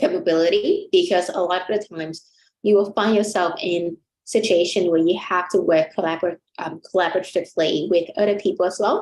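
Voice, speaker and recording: Speaking at a fairly quick pace in a Vietnamese accent, a woman keeps her medium-pitched voice fairly even in intonation. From Vietnam, Ho Chi Minh City. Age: 20s. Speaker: chartered accountant. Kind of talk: webinar interview. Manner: hesitant, many fillers.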